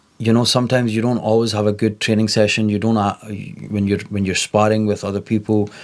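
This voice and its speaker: Speaking at a very fast pace, a man keeps a fairly low pitch. His intonation is monotone and flat. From Scotland, Scottish Pakistani. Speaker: content creator and influencer boxer. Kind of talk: interview.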